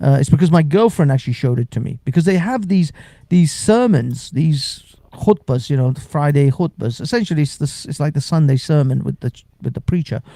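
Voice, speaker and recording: This man has a dark, mellow tone, somewhat breathy, with fairly high pitch. He talks at a fairly quick pace with lively intonation and big swings in loudness. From Iran. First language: Persian. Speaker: live-stream host. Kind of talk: casual chat. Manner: animated.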